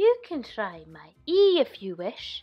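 A woman's put-on character voice, high-pitched with very wide pitch swings and a fairly slow pace. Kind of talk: storybook animal voice. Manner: clucking, fussy.

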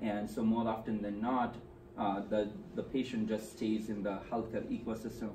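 Over noticeable background noise, a man speaks at a fairly slow pace. His fairly low voice stays monotone and flat. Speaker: presenter. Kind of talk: presentation talk. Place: meeting room. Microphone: camera far.

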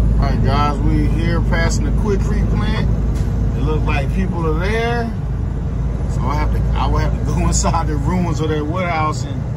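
Under loud background noise, the speech comes at a moderate pace. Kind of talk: casual vlog chat. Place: car. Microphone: phone near.

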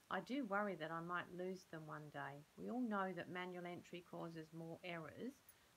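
Over light background noise, a woman talks at a moderate pace with a fairly low pitch. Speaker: speaker. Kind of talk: scripted role-play dialogue. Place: home room. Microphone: phone near.

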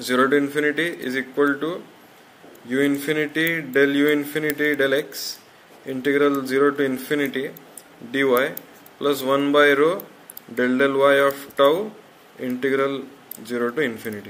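Pausing long and often, a man speaks at a moderate pace with fairly even intonation. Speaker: teacher explaining a derivation. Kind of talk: lecture. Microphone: phone near.

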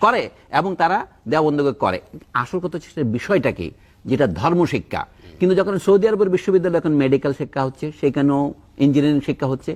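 Here is an unremarkable speaking voice from a man. His pitch is fairly high and his intonation lively. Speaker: academic commentator on education. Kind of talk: talk show discussion. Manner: formal.

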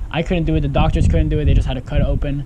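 Loud background noise accompanies a man speaking. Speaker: fishing vlogger. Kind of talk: casual vlog chat. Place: garden.

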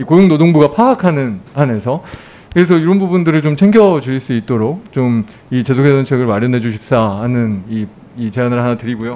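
Lively intonation marks this man's speech. He moves along at a fairly quick pace. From Daejeon, South Korea. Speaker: national assembly member. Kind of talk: parliamentary audit questioning. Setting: parliament committee hall. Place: hall. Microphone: podium.

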